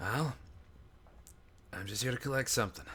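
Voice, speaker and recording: Using a raspy, put-on character voice at medium pitch, a man talks at a fairly quick pace over clear background noise. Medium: actual play. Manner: hesitant, apologetic, rambling.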